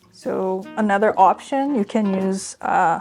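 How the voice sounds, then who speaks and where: A woman of medium pitch speaks with lively intonation. Music plays in the background. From Brazil. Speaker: registered dietitian. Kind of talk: cooking tutorial.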